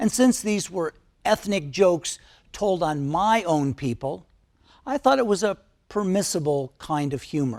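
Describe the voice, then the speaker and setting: Someone with a Midwestern American accent speaks at a fairly slow pace in a very clean recording with a silent background. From US Midwest, Detroit, Michigan. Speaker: video essayist. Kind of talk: personal commentary.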